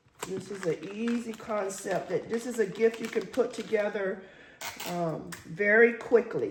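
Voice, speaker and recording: A woman talks fairly slowly at a fairly high pitch, her intonation fairly even. Her loudness swings widely, and background noise is noticeable. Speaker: crafter and gift basket vendor. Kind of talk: tutorial. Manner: casual, conversational.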